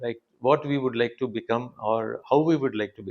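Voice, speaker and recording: A man with a Telugu accent, medium pitch and ordinary pitch variation. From India, Telugu-speaking south. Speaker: engineering professor and institute director. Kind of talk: interview conversation. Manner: halting, many fillers.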